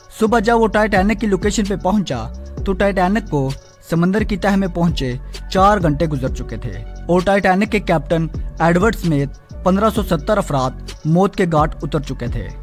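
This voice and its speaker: A man with a high pitch, music in the background. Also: ordinary pitch variation. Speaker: channel host narrating facts. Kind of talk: documentary-style storytelling narration.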